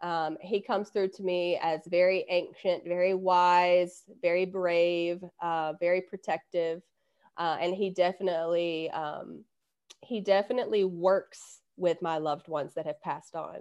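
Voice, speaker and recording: Against a quiet background, a woman with a Southern US accent speaks fairly slowly in a fairly low pitch with fairly even intonation. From US South. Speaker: intuitive coach and hypnotherapist. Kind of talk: casual interview.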